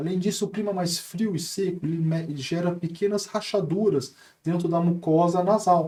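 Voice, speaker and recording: A man's high-pitched voice, dark and mellow in tone, with fairly even intonation. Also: moderate pace. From Brazil, Taubaté (São Paulo state). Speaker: ENT doctor. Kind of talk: podcast interview.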